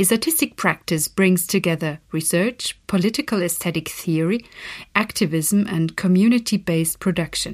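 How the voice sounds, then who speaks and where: With a plain, everyday voice at a medium pitch, a woman speaks at a moderate pace with ordinary pitch variation and very even loudness, in a very clean recording with a silent background. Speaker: festival team member introducing the podcast. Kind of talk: scripted introduction.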